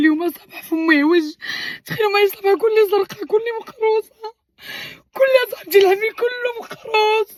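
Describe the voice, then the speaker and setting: A woman speaks in a Moroccan accent. Her intonation is lively. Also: dry, close sound with no echo. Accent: Moroccan Arabic (Darija). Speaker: vlogger. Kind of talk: casual chat to viewers.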